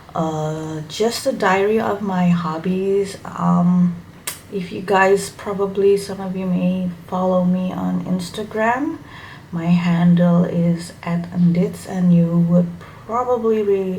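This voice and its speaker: A woman's medium-pitched voice at a very slow pace, with fairly even intonation, audible room echo and noticeable background noise. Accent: Indonesian. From Indonesia. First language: Indonesian. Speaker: hobby YouTuber. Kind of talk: casual vlog introduction. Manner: halting, with fillers.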